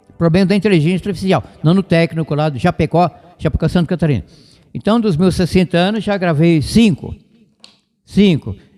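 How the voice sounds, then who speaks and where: Dry and close with no echo, a man's high-pitched voice has a dark, mellow tone and very even loudness. He moves at a fairly quick pace yet takes long, frequent pauses. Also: ordinary pitch variation. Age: 70s. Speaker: radio evangelist. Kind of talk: radio sermon and talk. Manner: fast, sometimes stumbling over words.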